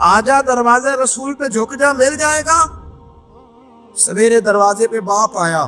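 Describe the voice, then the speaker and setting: A man speaks with music in the background. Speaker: Islamic preacher. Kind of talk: Islamic sermon with storytelling. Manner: emotional, passionate.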